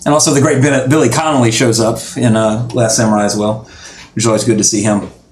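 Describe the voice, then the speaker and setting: A man with a Southern US accent, medium pitch, ordinary pitch variation and a fairly quick pace. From Louisiana. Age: 30s. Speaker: podcast host. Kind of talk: casual chat. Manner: fast talker; animated.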